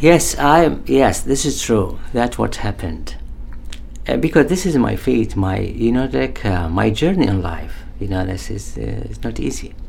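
A man with an Arabic accent speaks at a fairly slow pace amid noticeable background noise and audible room echo. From Iraq, Baghdad. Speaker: poet and artist, former prisoner of war. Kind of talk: interview. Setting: studio. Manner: halting.

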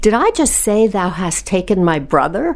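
A woman talks fairly slowly, noticeable background noise accompanying her. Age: 70s. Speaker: retired businesswoman, cancer survivor. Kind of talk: interview, personal testimony. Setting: studio.

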